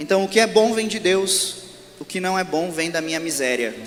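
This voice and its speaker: A man at a high pitch and moderate pace, with ordinary pitch variation and noticeable background noise. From southern Brazil, Rio Grande do Sul (Santa Maria). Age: 30s. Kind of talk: religious talk to a live audience. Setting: stage at a religious event with audience.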